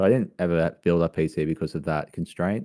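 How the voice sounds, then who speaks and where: Here, a man with an Australian accent speaks in a dark, mellow tone. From rural Australia. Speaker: gamer and content creator. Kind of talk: casual chat. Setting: livestreamed video call. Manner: hesitant, many fillers.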